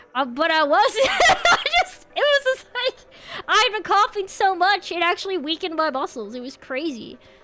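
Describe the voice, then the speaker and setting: Over noticeable background noise, a woman with an extremely high pitch uses a raised, projected voice and an animated tone, swinging very widely in pitch at a moderate pace with hardly any pauses. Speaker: vtuber streamer. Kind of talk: live stream chat.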